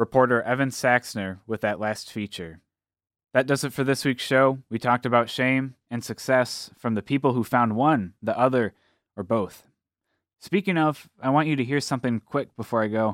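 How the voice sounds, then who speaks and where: In a very clean recording with a silent background, a man talks in an ordinary speaking voice at medium pitch. His pace is moderate, his pitch variation ordinary, and the sound dry and close with no echo. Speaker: radio host. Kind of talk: radio show hosting. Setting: studio.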